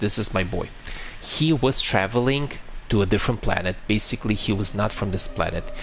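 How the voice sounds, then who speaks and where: Speaking with a Romanian accent, a man keeps a moderate pace and lively intonation. There is noticeable background noise. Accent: Eastern European (Romanian), noticeable. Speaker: video game streamer. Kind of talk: live gameplay stream chat. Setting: live stream, talking to chat. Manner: halting, frequent fillers and restarts; relaxed, chill.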